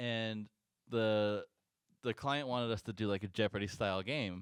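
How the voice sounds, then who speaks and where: Recorded very cleanly against a silent background, with a dry, close sound and no echo, a man talks at a fairly low pitch. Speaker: podcast co-host; event technology worker. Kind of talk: casual chat.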